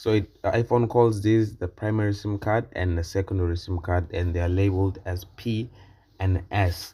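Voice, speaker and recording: At a moderate pace, a man with a fairly low pitch and a dark, mellow tone sounds somewhat breathy, keeping his intonation fairly even. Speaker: tech reviewer. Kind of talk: tech review video. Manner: casual, hesitant with fillers.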